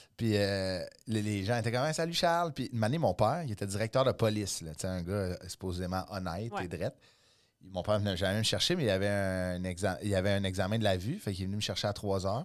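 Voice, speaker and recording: The recording is very clean, with a silent background. It carries a plain, everyday voice at a fairly quick pace with ordinary pitch variation. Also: man, fairly low pitch for a man. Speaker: comedian. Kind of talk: casual chat.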